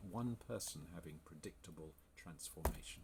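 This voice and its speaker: This man has an English accent. He talks at a moderate pace. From England. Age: 60s. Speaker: health coach. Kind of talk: sales pitch. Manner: enthusiastic.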